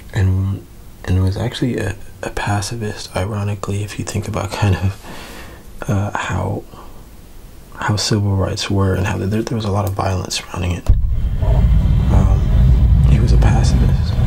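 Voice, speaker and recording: Soft-spoken delivery with long, frequent pauses over noticeable background noise. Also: moderate pace. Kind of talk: ASMR soft-spoken history talk.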